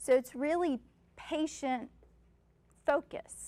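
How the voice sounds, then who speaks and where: This woman's voice comes through loud. The sound is dry and close, with no echo. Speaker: neonatal nurse practitioner. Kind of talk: lecture. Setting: stage with audience.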